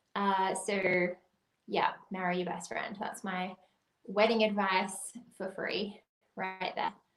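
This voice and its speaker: A woman with an Australian accent speaks at a very slow pace in a monotone, flat intonation, with long, frequent pauses. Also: medium pitch for a woman. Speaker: wedding planner. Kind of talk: livestream guest talk.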